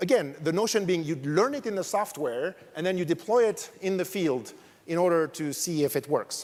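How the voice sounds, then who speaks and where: A man speaks with a French accent and lively intonation. His pitch is high. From France. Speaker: academic researcher, conference speaker. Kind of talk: conference talk. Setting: stage with audience.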